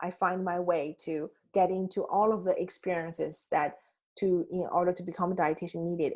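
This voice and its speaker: A woman with a Chinese accent speaks at a fairly quick pace and a medium pitch, her intonation flat and monotone, against a quiet background. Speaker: life coach. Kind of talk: coaching talk. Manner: halting, with frequent restarts.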